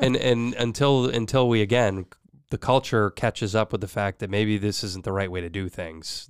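In a very clean recording with a silent background and a dry, close sound with no echo, a man with a normal speaking voice talks at a moderate pace, his fairly low pitch showing ordinary pitch variation. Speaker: podcast co-host. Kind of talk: casual chat.

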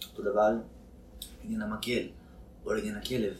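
Audible room echo surrounds a man as he speaks. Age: 30s. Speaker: actor and therapist. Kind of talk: casual interview.

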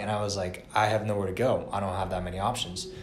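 A man with an American accent at a fairly quick pace, with music in the background and audible room echo. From Atlanta, Georgia, US. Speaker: university student. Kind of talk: casual chat.

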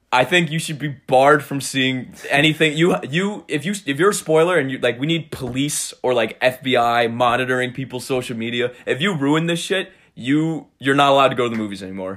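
A plain, everyday voice with lively intonation and hardly any pauses. The recording is very clean, with a silent background. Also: man, fairly high pitch for a man, fairly quick pace. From New York, Cold Spring (Hudson Valley). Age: 20s. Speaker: podcast host, college student. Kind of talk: casual chat.

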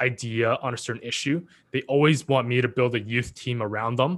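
A man's plain, everyday voice, medium in pitch, at a moderate pace in a Canadian accent. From Canada, Vancouver area. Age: 20s. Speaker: youth mentor and entrepreneur. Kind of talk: casual interview chat.

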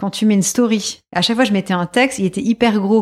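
A woman speaks in an ordinary speaking voice at a medium pitch with ordinary pitch variation. The recording is very clean with a silent background. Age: 40s. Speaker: ceramics artisan and entrepreneur. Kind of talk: interview.

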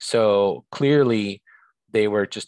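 Against a quiet background, a man with a fairly low pitch is heard in a dry, close sound with no echo. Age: 50s. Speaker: recovery and homelessness advocate. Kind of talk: interview.

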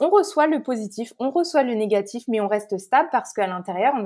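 A woman speaks with a dark, mellow tone at a fairly high pitch. Her intonation is lively and her pace moderate. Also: very clean recording, silent background. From France (Paris). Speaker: spiritual life coach and Reiki practitioner. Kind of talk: podcast interview.

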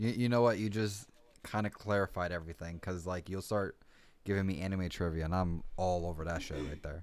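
In a very clean recording with a silent background, a man speaks with a very deep, low pitch and fairly even intonation. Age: 20s. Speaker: podcast co-host, restaurant worker. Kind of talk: casual chat. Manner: hesitant, halting.

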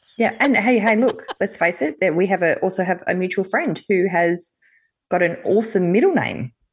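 This woman talks at a moderate pace with an Australian accent, her pitch medium and its variation ordinary. Her loudness stays very even over a quiet background. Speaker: podcast co-host. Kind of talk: casual chat.

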